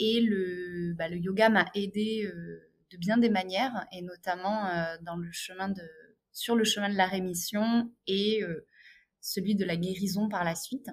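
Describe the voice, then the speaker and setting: Her medium-pitched voice moving at a very slow pace, a woman speaks with fairly even intonation. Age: 30s. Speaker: yoga teacher. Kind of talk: interview.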